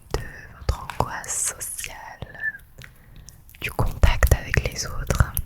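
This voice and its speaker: Whispering in a calm tone, a woman speaks very slowly with long, frequent pauses over noticeable background noise. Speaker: ASMR creator playing a psychologist. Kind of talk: ASMR role-play, therapy session. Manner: soft-spoken, calm, relaxing.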